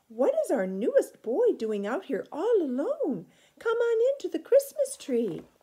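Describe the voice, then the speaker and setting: A woman does a put-on character voice that is squeaky and extremely high-pitched. She moves at a moderate pace with very wide pitch swings. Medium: read story. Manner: warm, motherly.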